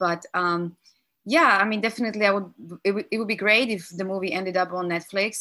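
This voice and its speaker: The voice has a bright, sharp tone. The recording is very clean, with a silent background. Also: woman. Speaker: film director. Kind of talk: interview answers over call.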